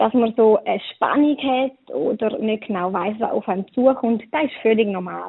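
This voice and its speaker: Here is a woman with a fairly high pitch and ordinary pitch variation, in a normal speaking voice. She goes at a moderate pace. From eastern Switzerland. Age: 20s. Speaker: wedding planner. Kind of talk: interview.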